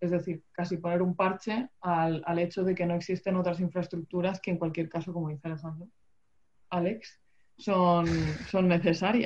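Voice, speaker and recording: A woman speaks in a fairly low pitch. Her intonation is monotone and flat. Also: moderate pace. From Murcia, Spain. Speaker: water engineer, podcast co-host. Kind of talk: casual chat. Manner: halting, many repetitions.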